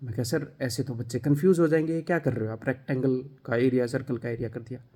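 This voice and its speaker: A man with a fairly high pitch speaks at a moderate pace in a dark, mellow, somewhat breathy tone, using ordinary pitch variation. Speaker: maths teacher for exam coaching. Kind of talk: talk to camera. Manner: animated.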